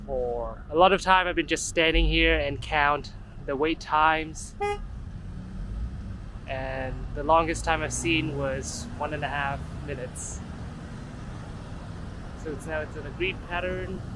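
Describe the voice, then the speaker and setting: The speech moves at a fairly slow pace with long, frequent pauses, sounding dry with no echo against noticeable background noise. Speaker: walking tour host. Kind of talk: casual vlog commentary. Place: street. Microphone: phone near.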